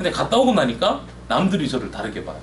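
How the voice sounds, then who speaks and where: A man with a Gyeongsang accent speaks at a very fast pace. The room echo is audible, and background noise is noticeable. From South Korea, Daegu (Gyeongsang). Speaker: overseas employment consultant. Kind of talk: presentation seminar.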